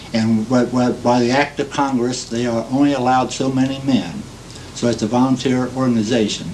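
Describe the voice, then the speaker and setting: Midwestern US accent from a man at medium pitch, fairly quick and monotone with flat intonation, over noticeable background noise. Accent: US Midwest. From Ohio. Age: 60s. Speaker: war veteran. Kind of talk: oral history testimony. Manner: halting, many fillers.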